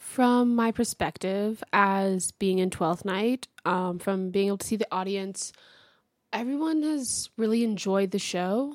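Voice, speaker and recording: A woman with an American accent has a plain, everyday voice at medium pitch with ordinary pitch variation. The recording is very clean, with a silent background and a dry, close sound with no echo. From Texas, Houston. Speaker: college theater actor. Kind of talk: radio interview.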